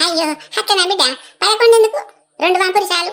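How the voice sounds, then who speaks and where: In a cartoonish character voice, a woman squeaks at an extremely high pitch. Her intonation is lively and her pace moderate. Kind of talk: village comedy sketch. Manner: grumbling, quarrelsome.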